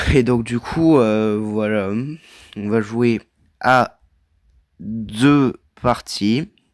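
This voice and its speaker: A man speaks at a very slow pace in a medium pitch, his intonation fairly even, on a very clean recording with a silent background. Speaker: gaming video creator. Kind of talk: casual gameplay commentary. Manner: loud.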